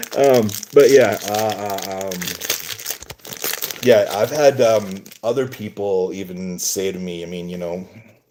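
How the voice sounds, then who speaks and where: Over noticeable background noise, a man with a fairly low pitch talks at a fairly slow pace, with ordinary pitch variation, big swings in loudness, and long, frequent pauses. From western Canada, British Columbia. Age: 50s. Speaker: pack-opening streamer. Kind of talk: casual chat. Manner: halting, many filler words.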